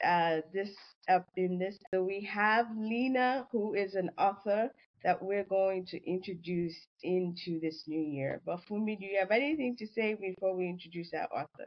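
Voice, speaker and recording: A woman speaks in a normal speaking voice at medium pitch. Her pace is moderate and her pitch variation ordinary. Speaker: podcast co-host. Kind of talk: casual interview.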